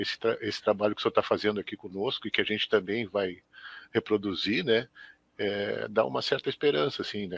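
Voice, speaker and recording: Recorded dry and close with no echo, a man is talking. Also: quiet background. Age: 60s. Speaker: schoolteacher. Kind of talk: live web interview. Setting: live web broadcast.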